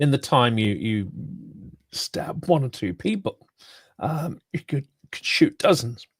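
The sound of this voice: Using a put-on character voice, a man speaks at a fairly slow pace with long, frequent pauses, raspy and hoarse, swinging very widely in pitch around a fairly high level, in a dry, close sound with no echo.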